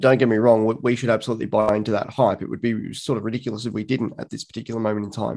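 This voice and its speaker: Speaking at a very fast pace with an Australian accent, a man keeps a monotone, flat intonation at a medium pitch. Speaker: football writer. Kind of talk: casual chat.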